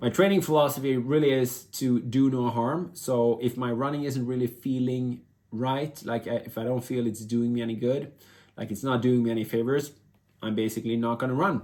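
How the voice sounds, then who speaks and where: A man with a Swedish accent speaks in a dark, mellow tone with fairly even intonation. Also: medium pitch for a man. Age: 50s. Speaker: vlogger and former elite endurance athlete. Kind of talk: casual vlog monologue. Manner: halting, many fillers and restarts.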